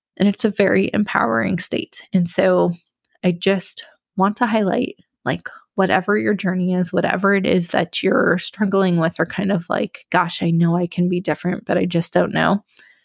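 A plain, everyday voice at a moderate pace, with ordinary pitch variation and very even loudness, comes through as a dry, close sound with no echo. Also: woman, medium pitch for a woman. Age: 30s. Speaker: podcast host. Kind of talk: casual monologue.

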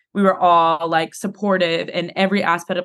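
Speaking very fast with an American accent, a woman keeps a medium pitch and fairly even intonation. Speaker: college volleyball player. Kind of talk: interview.

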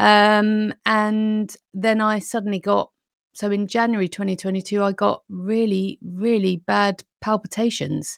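A woman with a British accent speaks at a medium pitch and a fairly slow pace, her intonation flat and monotone. The recording is very clean and dry, close with no echo, over a silent background. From UK. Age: 50s. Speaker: nutrition consultant and weight loss coach. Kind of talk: interview, casual chat.

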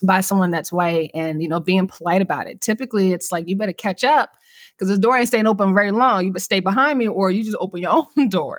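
With an American accent, a woman of medium pitch talks at a very fast pace with ordinary pitch variation. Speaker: podcast host discussing mental health. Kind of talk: educational casual conversation.

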